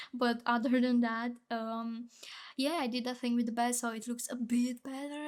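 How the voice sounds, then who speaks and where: A woman speaks in a high-pitched voice. Her intonation stays fairly even. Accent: non-native. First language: not English. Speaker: Sims builder and content creator. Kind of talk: voice-over commentary on a speed build. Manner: casual, hesitant with fillers and restarts.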